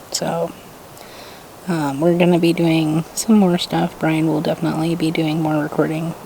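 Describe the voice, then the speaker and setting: A soft-spoken woman's fairly low voice, flat and monotone, at a moderate pace over noticeable background noise. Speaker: vlogger. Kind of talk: casual vlog talk to camera. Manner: quiet, soft-spoken.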